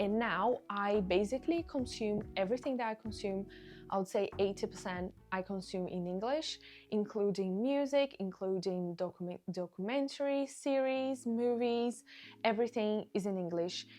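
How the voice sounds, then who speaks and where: A woman speaks at a moderate pace in a Portuguese accent. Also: medium pitch for a woman, ordinary pitch variation. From Brazil. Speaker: online business creator. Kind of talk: casual Q&A vlog.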